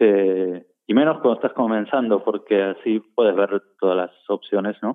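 A man with an Argentine accent, ordinary pitch variation and a fairly slow pace. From Argentina, Buenos Aires. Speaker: concert production manager. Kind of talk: interview. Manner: halting.

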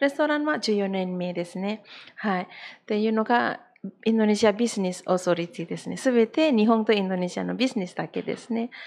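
A woman talks at a fairly quick pace in a normal speaking voice. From Indonesia, eastern Java. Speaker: restaurant owner. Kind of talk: casual interview.

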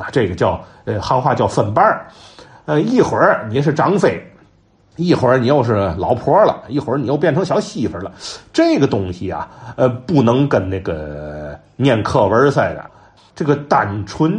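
With a Tianjin accent, a man speaks at a moderate pace and medium pitch, his animated tone showing very wide pitch swings and vocal fry. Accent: Tianjin Mandarin. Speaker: folk storytelling enthusiast and commentator. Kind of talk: informal talk on storytelling history. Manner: animated, conversational with many fillers.

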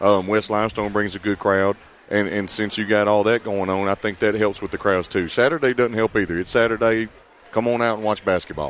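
This man talks fairly quickly in a fairly low register, his intonation fairly even, with noticeable background noise present. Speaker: tournament host, gym staff. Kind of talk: casual interview.

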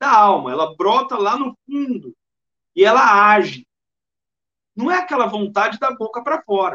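Long, frequent pauses from a high-pitched man with lively intonation. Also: moderate pace. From interior of São Paulo state, Brazil (Bauru). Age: 40s. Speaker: spiritist lecturer. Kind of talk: lecture.

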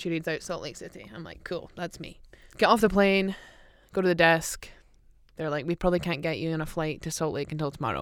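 Speaking with an Aberdeen accent, a woman with a fairly low pitch moves at a fairly quick pace, using ordinary pitch variation and big swings in loudness. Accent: Aberdeen Scottish. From Scotland, Aberdeen. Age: 30s. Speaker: professional footballer. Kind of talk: casual chat. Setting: studio.

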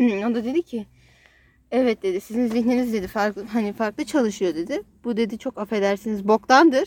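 A woman's fairly high-pitched voice with ordinary pitch variation at a moderate pace, dry and close with no echo, on a very clean recording with a silent background. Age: 20s. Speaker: podcast co-host sharing her therapy experience. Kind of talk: casual chat.

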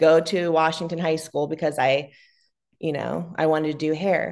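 Against a quiet background, a woman with an American accent uses a normal speaking voice at a fairly low pitch and a fairly quick pace. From Ohio, US. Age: 30s. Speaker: salon owner. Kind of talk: casual interview.

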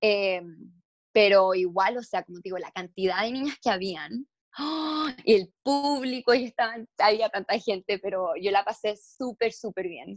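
Her voice is an ordinary speaking voice, fairly high-pitched with lively intonation, as the woman is heard with a dry, close sound and no echo. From Chile, then moved to the US. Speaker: beauty pageant contestant. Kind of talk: casual interview.

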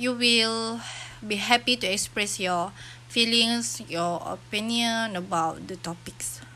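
A woman speaks with a Malaysian accent at a medium pitch. Her pace is very slow, with ordinary pitch variation. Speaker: university student podcaster. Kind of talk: casual solo podcast monologue. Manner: halting, many filler sounds.

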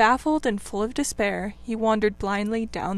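This is reading aloud in a natural voice.

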